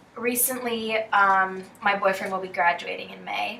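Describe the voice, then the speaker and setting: Audible room echo surrounds a woman whose intonation is fairly even. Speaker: student athlete. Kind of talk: counseling session, client.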